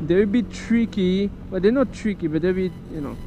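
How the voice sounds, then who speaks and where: A high-pitched man against noticeable background noise. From France. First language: French. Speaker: motorcycle vlogger. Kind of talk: casual vlog while riding. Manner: casual, halting.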